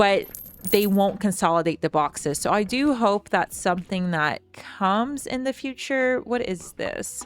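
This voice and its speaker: Mumbling at a fairly slow pace, a woman speaks at medium pitch with lively intonation. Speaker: gaming youtuber. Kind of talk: gameplay commentary.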